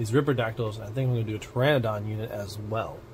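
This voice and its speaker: Someone talks at a very fast pace against light background noise. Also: man. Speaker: miniature-painting hobby video creator. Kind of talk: unboxing and build tutorial; casual tutorial chat. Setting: home hobby desk with camera setup. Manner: casual, chatty and self-joking.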